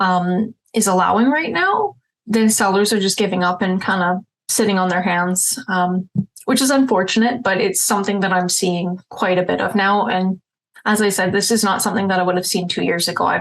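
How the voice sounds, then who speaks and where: A woman with a Canadian accent speaks at a medium pitch, her intonation fairly even and her loudness very even. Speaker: realtor. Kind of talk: market update vlog. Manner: fast; casual, filler-heavy.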